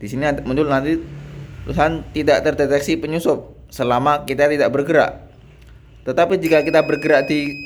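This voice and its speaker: Over noticeable background noise, a soft-spoken man talks at a fairly quick pace and fairly high pitch, with fairly even intonation. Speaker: university student. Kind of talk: project demonstration. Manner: halting.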